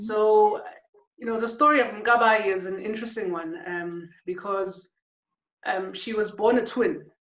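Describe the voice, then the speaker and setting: A woman with a fairly high pitch speaks at a fairly slow pace amid audible room echo. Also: ordinary pitch variation, big swings in loudness. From South Africa, KwaZulu-Natal township. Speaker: photographer and artist. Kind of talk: interview conversation. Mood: calm, reflective. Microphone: webcam.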